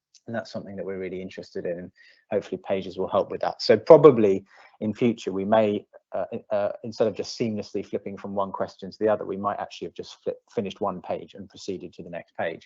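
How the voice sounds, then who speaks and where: The speech comes at a very fast pace in a British accent. The background is quiet. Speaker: digital planning project team member demoing a service. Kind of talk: live software demo. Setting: live online presentation. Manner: fast, self-described rattling through quickly; hesitant, many fillers.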